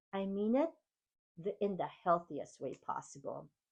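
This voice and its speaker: A woman speaks in a Filipino accent against a quiet background. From Philippines. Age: 50s. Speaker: keynote speaker and podcast host. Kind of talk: motivational monologue.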